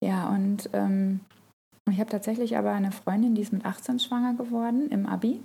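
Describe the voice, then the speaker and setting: A woman's dark, mellow, somewhat breathy voice at medium pitch, with very even loudness, fairly even intonation and a moderate pace. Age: 30s. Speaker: mother of three, crafter on social media. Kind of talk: casual interview chat.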